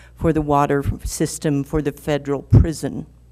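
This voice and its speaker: At a moderate pace, a woman speaks in a dark, mellow tone with monotone, flat intonation. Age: 70s. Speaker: resident and business owner giving public comment. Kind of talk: public hearing testimony. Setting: public hearing.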